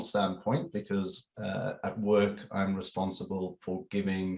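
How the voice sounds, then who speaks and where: A man speaks with a South African accent. His pace is fairly slow. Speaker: corporate security manager. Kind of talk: webinar panel discussion.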